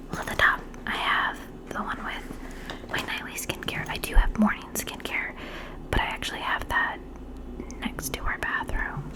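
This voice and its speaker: A woman whispering at a moderate pace, with long, frequent pauses, big swings in loudness and noticeable background noise. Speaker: ASMR creator. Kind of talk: ASMR skincare roleplay, casual talk to camera. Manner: whispered, chatty, soft-spoken.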